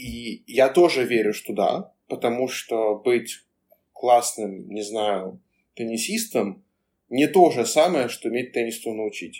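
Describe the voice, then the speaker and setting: The speech is very slow. Pitch varies in an ordinary way. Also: man, medium pitch for a man. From Moscow, Russia. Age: 20s. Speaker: career coach. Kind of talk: casual chat.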